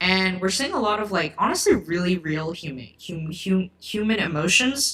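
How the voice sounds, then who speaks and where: Lively intonation carries the speech at a moderate pace with hardly any pauses. Noticeable background noise sits behind it. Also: woman, medium pitch for a woman. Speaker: book YouTuber. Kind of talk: livestream book chat. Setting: livestream. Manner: halting, stuttering; casual, filler-heavy.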